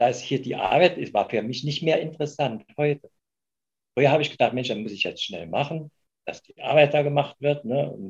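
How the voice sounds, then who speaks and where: Vocal fry colors a man's fairly high voice, with ordinary pitch variation. He keeps a moderate pace while his loudness swings widely. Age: 70s. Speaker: retired volunteer. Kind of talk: interview. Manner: halting.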